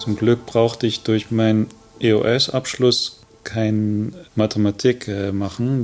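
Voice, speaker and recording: A man at a medium pitch with fairly even intonation. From East Germany, Upper Lusatia. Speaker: contemporary witness, former East German emigrant. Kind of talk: interview.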